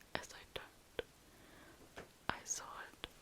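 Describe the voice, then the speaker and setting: Noticeable noise hums in the background. Over it, a woman whispers. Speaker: ASMR creator. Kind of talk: ASMR story reading. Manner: whispered, soft-spoken.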